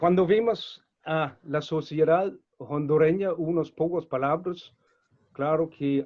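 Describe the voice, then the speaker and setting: This man has a non-native accent and a fairly high pitch. His pitch variation is ordinary. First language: not Spanish (speaking Spanish). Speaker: webinar moderator. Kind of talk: webinar introduction. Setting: online webinar. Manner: halting, with frequent fillers.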